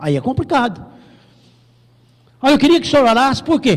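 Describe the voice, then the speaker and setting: This man speaks at an extremely high pitch. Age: 60s. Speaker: pastor. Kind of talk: sermon.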